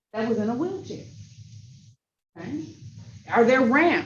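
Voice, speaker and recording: A woman with a somewhat breathy, fairly high voice speaks amid audible room echo. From Michigan. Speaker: workshop presenter. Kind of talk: training workshop.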